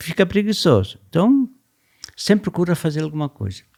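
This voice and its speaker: His tone is dark and mellow, with lively intonation. The man speaks at a moderate pace. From southern Brazil, Rio Grande do Sul (Gramado countryside). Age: 70s. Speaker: business founder and company president. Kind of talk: podcast interview.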